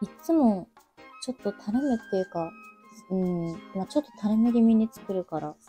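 Soft-spoken and at a moderate pace, a woman talks with lively intonation and a medium pitch while faint music plays in the background. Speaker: makeup vlogger. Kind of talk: casual makeup vlog talk to camera. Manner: quiet, soft-spoken. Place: home room. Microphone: webcam.

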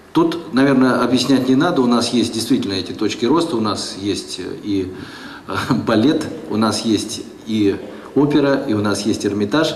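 Medium in pitch, a man speaks at a moderate pace with long, frequent pauses. Audible room echo and light background noise come through. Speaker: legislator. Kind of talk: panel discussion. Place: hall. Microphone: handheld.

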